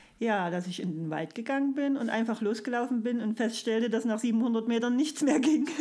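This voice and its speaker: Over noticeable background noise, a woman with fairly high pitch talks at a moderate pace with hardly any pauses and ordinary pitch variation. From Saxony, Erzgebirge (Freiberg area). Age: 40s. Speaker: kindergarten teacher, amateur runner. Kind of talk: casual interview. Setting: hotel room.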